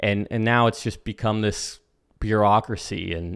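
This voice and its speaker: In a very clean recording with a silent background, a man talks at medium pitch. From Florida, Space Coast. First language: Spanish. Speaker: investing YouTuber. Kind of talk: livestream commentary. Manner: animated.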